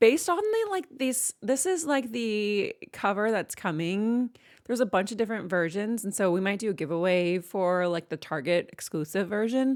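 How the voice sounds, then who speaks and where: A woman speaks at a medium pitch and moderate pace, animated in tone with lively intonation. The recording is very clean with a silent background. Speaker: book youtuber and streamer. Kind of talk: casual chat.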